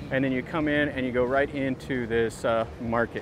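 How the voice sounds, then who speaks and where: A man at a moderate pace, dry with no echo, amid noticeable background noise. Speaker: travel vlogger. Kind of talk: casual vlog commentary. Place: market. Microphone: phone near.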